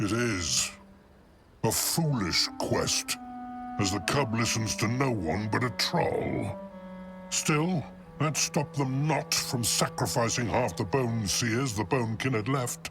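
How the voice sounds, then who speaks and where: With clear music in the background, a man uses a put-on character voice at a medium pitch and a fairly slow pace. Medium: video game. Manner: refers to himself in third person, grave.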